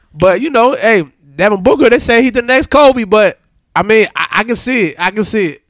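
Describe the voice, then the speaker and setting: A man's extremely high-pitched voice with ordinary pitch variation. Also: fairly quick pace. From western Pennsylvania, Aliquippa. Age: 30s. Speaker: podcast co-host. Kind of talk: casual chat.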